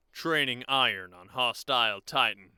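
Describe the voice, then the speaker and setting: A man performs a put-on character voice. He speaks at a moderate pace. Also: medium pitch for a man. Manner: serious, brooding.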